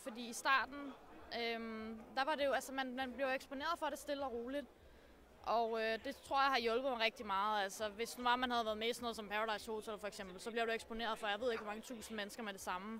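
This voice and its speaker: With noticeable background noise behind her, a woman talks at a very fast pace in a fairly high pitch. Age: 20s. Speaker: streamer. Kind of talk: interview.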